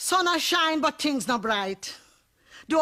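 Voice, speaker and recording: In a Jamaican accent, a woman uses a raised, projected voice, high in pitch with a bright, sharp tone, at a moderate pace. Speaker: poet. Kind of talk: poetry reading.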